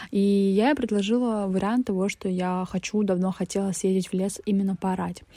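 Here a woman speaks at medium pitch in a dark, mellow tone with fairly even intonation. Her pace is moderate, with hardly any pauses. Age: 20s. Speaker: podcaster. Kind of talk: personal monologue podcast.

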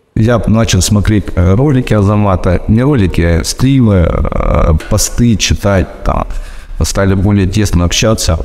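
At a very slow pace and with very even loudness, a man speaks over noticeable background noise. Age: 40s. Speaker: fitness trainer and former miner. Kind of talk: self-recorded testimony. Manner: halting, many fillers.

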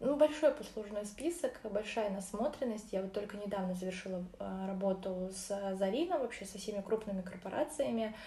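With noticeable background noise behind her, a woman speaks with lively intonation and big swings in loudness. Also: medium pitch for a woman, moderate pace. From Orenburg, Russia. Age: 20s. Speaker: marketer and psychologist. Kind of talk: casual interview.

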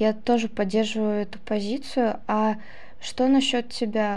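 A woman speaks very slowly in a fairly high, flat monotone, with audible room echo. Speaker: student podcast host. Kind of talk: interview. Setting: studio.

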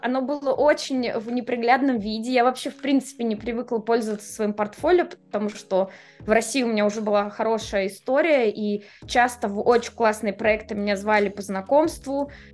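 Noticeable background noise behind a woman speaking fairly quickly at a fairly high pitch with ordinary pitch variation. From Moscow, Russia. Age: 30s. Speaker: designer and relocation coach. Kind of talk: casual interview. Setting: video call.

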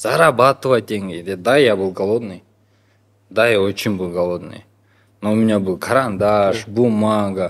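The speech comes at a fairly slow pace with long, frequent pauses and ordinary pitch variation. The recording is very clean, with a silent background. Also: man, fairly low pitch for a man. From Kyrgyzstan, Talas. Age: 30s. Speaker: artist. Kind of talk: interview.

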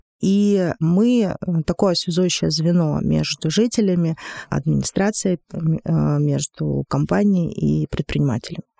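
A woman speaks in a dry, close sound with no echo. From Monchegorsk, Murmansk region, Russia. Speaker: director of a city development agency. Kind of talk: podcast interview.

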